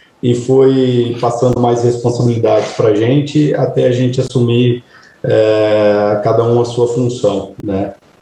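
A man's voice against noticeable background noise. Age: 30s. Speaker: cattle rancher. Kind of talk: interview. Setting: podcast interview.

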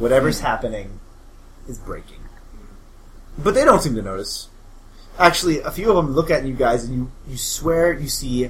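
A man with a fairly high pitch speaks at a moderate pace with lively intonation, big swings in loudness, and long, frequent pauses, in a space with audible room echo. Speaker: game master of a tabletop role-playing podcast. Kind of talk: tabletop role-play narration.

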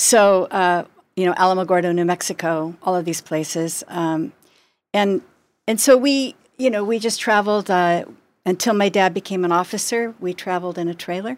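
Recorded very cleanly against a silent background, a woman with an unremarkable speaking voice speaks at medium pitch and a moderate pace, with ordinary pitch variation. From US, moved around (Air Force family). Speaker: media company owner and sommelier. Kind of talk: interview.

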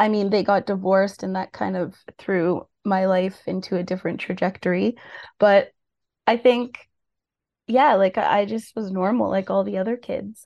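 Someone with a Canadian accent speaks in an ordinary speaking voice at a moderate pace with fairly even intonation over a quiet background. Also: woman, medium pitch for a woman. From Ontario, Peel region (Mississauga, Brampton). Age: 30s. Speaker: drug user advocate. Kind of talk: interview testimony.

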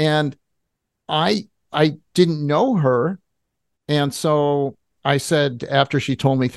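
This man's voice sits at fairly high pitch with ordinary pitch variation. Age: 60s. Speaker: tech entrepreneur and vaccine critic. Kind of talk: casual interview. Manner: filler-heavy, halting.

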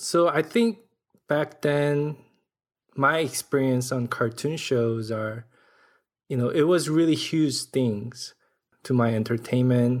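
A man with a Korean accent speaks at a very slow pace. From South Korea. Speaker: animation director and storyboard artist. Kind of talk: casual interview.

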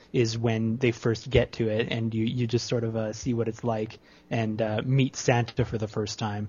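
Somewhat breathy, a man with a Canadian accent speaks at a moderate pace and a medium pitch. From Ontario, Canada. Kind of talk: casual chat.

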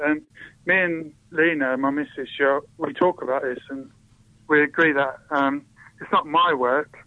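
A man with an English accent, fairly high in pitch, at a fairly slow pace. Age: 30s. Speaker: poet. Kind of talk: interview. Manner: hesitant.

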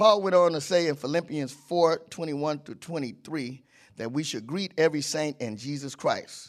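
Against a quiet background, a man with a fairly high pitch speaks at a moderate pace, using ordinary pitch variation and big swings in loudness. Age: 50s. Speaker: church elder preaching a guest sermon. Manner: animated, exclamatory, with frequent laughs and 'whew' interjections; halting, repeating words while building to emphatic points.

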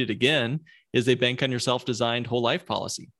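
A man's medium-pitched voice with a Midwestern US accent, over a quiet background. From US Midwest. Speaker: podcast host, financial planner. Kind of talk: interview, conversational podcast.

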